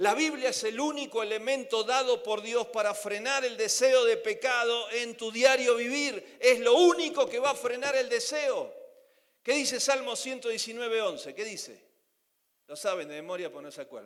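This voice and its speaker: A man's extremely high voice at a moderate pace, with ordinary pitch variation and big swings in loudness. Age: 60s. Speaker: preacher. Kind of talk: sermon.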